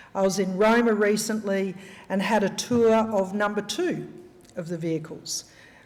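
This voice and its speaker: In an Australian accent, a woman speaks at a medium pitch with fairly even intonation. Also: moderate pace. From Australia, rural Queensland. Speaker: senator and special envoy for northern australia. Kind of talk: gala dinner speech. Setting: live event, speaking to an audience.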